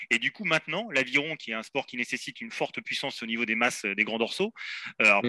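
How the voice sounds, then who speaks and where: The voice is bright and sharp, moving at a fairly quick pace with lively intonation in a dry, close sound with no echo. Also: man. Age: 40s. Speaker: sports podiatrist. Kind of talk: expert interview.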